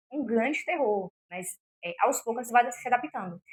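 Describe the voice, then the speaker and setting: Fairly quick speech from a woman with a fairly high pitch, in a dry, close sound with no echo. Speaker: self-help youtuber. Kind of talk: motivational talk to camera. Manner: fast; occasional stumbles over words.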